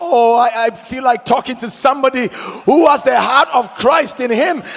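Over noticeable background noise, a man speaks in a dramatic tone at an extremely high pitch, with ordinary pitch variation. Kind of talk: sermon. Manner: call-and-response, rousing pulpit delivery urging the congregation to repeat lines; emphatic, exhorting, with dramatic rhetorical questions.

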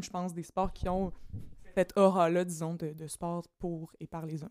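A woman with a Quebec accent speaks at a moderate pace in a fairly low pitch with fairly even intonation. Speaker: doctoral student in political science. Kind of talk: casual chat.

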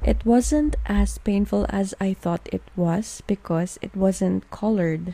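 Speaking very slowly with a Filipino accent, a woman takes hardly any pauses. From Philippines. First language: Tagalog. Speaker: podcast host. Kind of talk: casual monologue. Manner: code-switching English and Tagalog.

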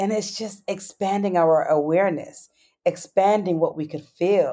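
Speaking in an American accent, a woman has a dark, mellow tone at a medium pitch, with ordinary pitch variation. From New York. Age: 40s. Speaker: tantra teacher. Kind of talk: interview.

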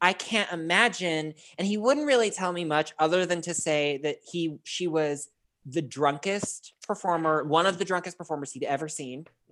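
The speaker is a woman whose pitch shifts in an ordinary way. She keeps a moderate pace. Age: 30s. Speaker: podcast guest. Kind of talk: casual chat. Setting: video call.

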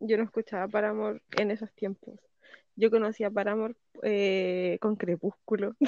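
A woman talks at a moderate pace in a medium pitch. Her intonation is flat and monotone, and the sound is dry and close with no echo. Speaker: podcast co-host. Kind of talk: casual chat.

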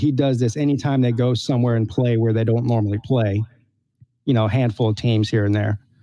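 In an American accent, a man speaks at a fairly quick pace with a dark, mellow tone, medium pitch, fairly even intonation and very even loudness. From United States. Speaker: sports podcast co-host. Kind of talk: casual chat.

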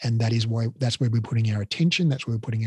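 His pitch sits in the medium range. There is a somewhat breathy quality to the man's voice. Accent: Australian. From Australia, Melbourne. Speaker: Pilates educator and business owner. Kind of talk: interview. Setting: video call.

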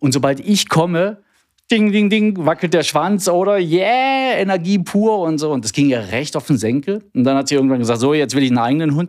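Fairly quick speech from a man with a fairly high pitch and very wide pitch swings. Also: very clean recording, silent background. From East Germany. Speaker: health IT sales manager. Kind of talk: casual interview. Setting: studio.

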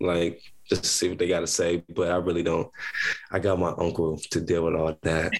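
A man with an American accent at a moderate pace. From Columbus, Ohio. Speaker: college basketball player. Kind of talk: interview. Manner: hesitant, many fillers.

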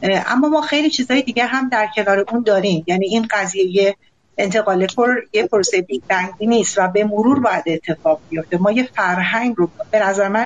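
With an ordinary speaking voice, a woman talks at a fairly quick pace and a fairly high pitch. Her loudness stays very even, and her pitch varies in an ordinary way. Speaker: caller, banking IT professional. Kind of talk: call-in comment.

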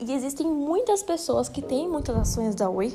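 A woman speaks at a moderate pace while music plays in the background. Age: 20s. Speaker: finance educator. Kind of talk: solo explainer podcast. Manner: casual, conversational.

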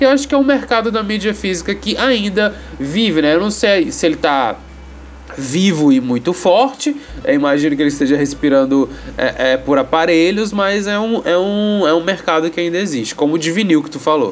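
Against noticeable background noise, a man talks at a moderate pace in a high pitch with very wide pitch swings. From Brazil. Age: 30s. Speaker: podcast host. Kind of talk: casual chat. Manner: halting, many fillers.

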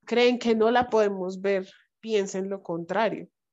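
A woman speaks with a strong Bogotá accent at a medium pitch. Her intonation is fairly even. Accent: strong Bogotá Colombian Spanish. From Colombia, Bogotá. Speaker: writer and anti-racist educator. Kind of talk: casual chat.

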